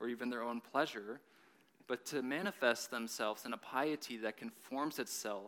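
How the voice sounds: The reading voice sounds natural, and its pitch varies an ordinary amount.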